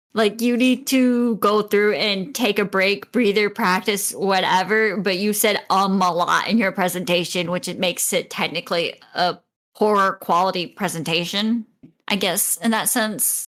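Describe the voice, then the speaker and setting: The woman's pitch is medium. She keeps her intonation fairly even. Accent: northern. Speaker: podcast co-host. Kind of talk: casual chat.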